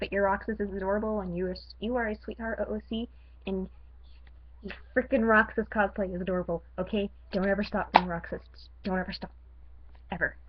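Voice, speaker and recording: A woman's medium-pitched voice with vocal fry, monotone and flat, very fast, with long, frequent pauses. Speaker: tumblr roleplayer vlogging. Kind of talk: casual vlog talking to camera. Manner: rambling, halting with fillers.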